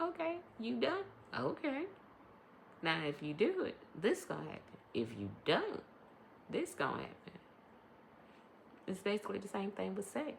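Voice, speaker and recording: A woman speaks at a moderate pace with long, frequent pauses. Noticeable background noise is present. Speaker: podcast host and life coach. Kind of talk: casual monologue podcast. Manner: varies between quiet and loud; hesitant, many ums.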